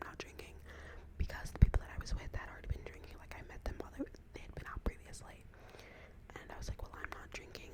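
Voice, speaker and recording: Whispering from a woman at a very fast pace, with noticeable background noise. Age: 20s. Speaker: college student. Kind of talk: ASMR whisper ramble. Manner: whispered.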